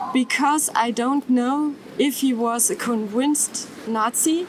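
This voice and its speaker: A woman's high-pitched, very slow speech in a German accent, over noticeable background noise. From Germany, near Stuttgart. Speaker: descendant of a Nazi perpetrator. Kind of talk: testimony. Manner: halting.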